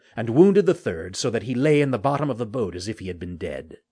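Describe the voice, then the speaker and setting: Over a quiet background, someone talks at a very fast pace with vocal fry. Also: man. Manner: formal, measured period-style delivery.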